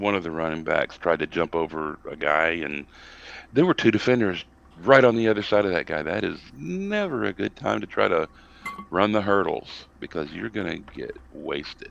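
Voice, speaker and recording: With an American accent, a man speaks at a moderate pace. Background noise is noticeable. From US South. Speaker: college football podcast panelist. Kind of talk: casual sports discussion. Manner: animated, ranting; halting with many fillers.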